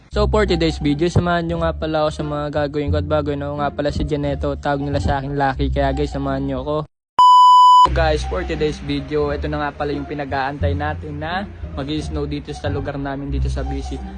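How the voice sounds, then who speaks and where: A man talks at a very fast pace. Music plays in the background, and room echo is audible. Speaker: vlogger. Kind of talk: casual vlog. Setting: outdoors.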